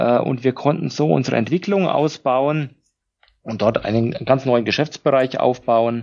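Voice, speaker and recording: A man with a Franconian accent, a medium pitch, ordinary pitch variation and a very slow pace. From Lower Franconia, Germany. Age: 40s. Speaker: company managing director. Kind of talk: interview. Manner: hesitant, many filler sounds.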